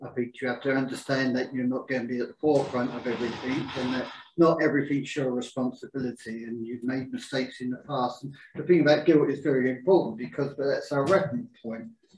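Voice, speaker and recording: A man talks at a very fast pace with a medium pitch and fairly even intonation. Noticeable background noise sits behind him. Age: 60s. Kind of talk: group discussion. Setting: livestreamed group talk.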